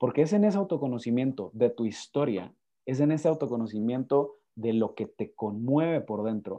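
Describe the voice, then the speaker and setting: A man's medium-pitched, dark, mellow voice with lively intonation at a moderate pace over a quiet background. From Guatemala. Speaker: lawyer and speaker. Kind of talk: interview conversation. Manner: halting, repeats words.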